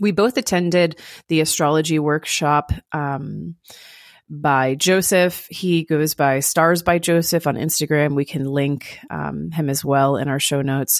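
Fairly even intonation marks this fairly slow delivery in an American accent. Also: woman, very deep, low pitch for a woman. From US South, Florida/Georgia. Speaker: podcast co-host, practicing witch. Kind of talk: casual chat.

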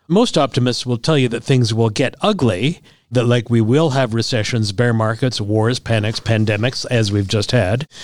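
A man uses a normal speaking voice at medium pitch, keeping a moderate pace and ordinary pitch variation. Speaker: podcast host, financial adviser. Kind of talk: casual chat about finance.

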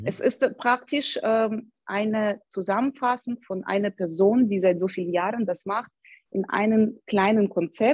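In a dry, close sound with no echo, a woman talks at a fairly slow pace with a fairly high pitch and ordinary pitch variation. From Ukraine, Odessa. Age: 30s. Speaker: personal trainer. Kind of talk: interview. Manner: halting, many fillers.

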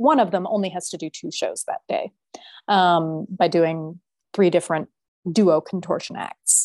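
At a fairly slow pace, a woman uses an ordinary speaking voice at a medium pitch with ordinary pitch variation, over a quiet background in a dry, close sound with no echo. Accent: American. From US Southwest, New Mexico. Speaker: circus singer. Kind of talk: interview.

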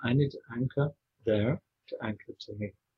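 A somewhat breathy man speaks at a medium pitch with ordinary pitch variation. The sound is dry and close with no echo. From Scotland. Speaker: spiritual teacher. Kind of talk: casual chat.

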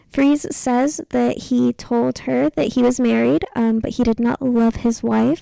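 A woman with an American accent is heard in a dry, close recording with no echo. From Texas. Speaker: podcast co-host. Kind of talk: storytelling, true crime. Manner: hesitant, frequent ums.

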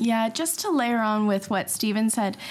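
A woman with a plain, everyday voice and a Canadian accent speaks at a fairly high pitch and a fairly slow pace, with ordinary pitch variation. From Canada. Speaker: school parent. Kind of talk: casual interview.

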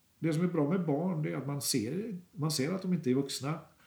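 Using a plain, everyday voice, a man with a fairly high pitch speaks at a moderate pace. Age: 60s. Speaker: artist. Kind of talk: interview. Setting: artist's studio. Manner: calm.

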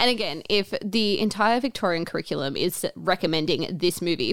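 In a very clean recording with a silent background, a woman with an Australian accent speaks at a moderate pace, her medium pitch carried by lively intonation. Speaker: podcast co-host, teacher. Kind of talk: casual chat.

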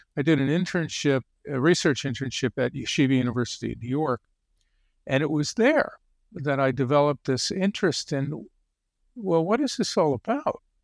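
An ordinary speaking voice with an American accent moves at a fairly quick pace with lively intonation. The sound is dry and close with no echo, on a very clean recording with a silent background. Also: man, fairly high pitch for a man. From Connecticut. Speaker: psychotherapist. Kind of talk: interview.

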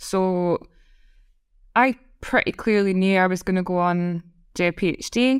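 A woman with a Scottish accent at a moderate pace, long, frequent pauses, and a dry, close sound with no echo. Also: medium pitch for a woman, ordinary pitch variation. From Scotland. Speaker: head of data science. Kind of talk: casual interview chat.

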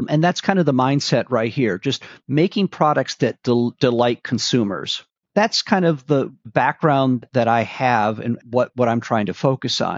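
A man with a General American accent has a normal speaking voice at a medium pitch. He talks at a fairly slow pace with lively intonation. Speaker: author and policy advisor. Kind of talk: casual interview.

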